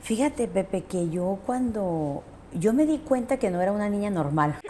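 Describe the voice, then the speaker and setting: A woman speaks at a moderate pace and medium pitch. Her pitch swings very widely. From international upbringing, US-born, raised traveling. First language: English (speaking Spanish). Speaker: lawyer and social activist. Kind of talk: interview.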